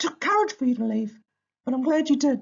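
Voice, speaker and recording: A put-on character voice, high-pitched and warm in tone, at a fairly quick pace. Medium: read story. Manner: encouraging, warm.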